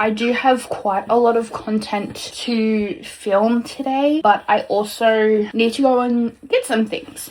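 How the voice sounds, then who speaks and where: Fairly high-pitched woman in an Australian accent, over noticeable background noise. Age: 20s. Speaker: beauty vlogger. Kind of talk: casual talk to camera. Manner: chatty.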